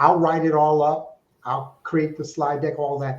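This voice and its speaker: Audible room echo surrounds a man speaking at a moderate pace, his fairly high voice held in a monotone, flat intonation. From Alaska. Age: 60s. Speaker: fundraising consultant. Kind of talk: interview.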